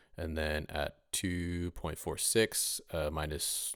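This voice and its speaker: A man talks over a quiet background. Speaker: rapper and mixing tutorial maker; mixing tutorial maker. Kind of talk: tutorial.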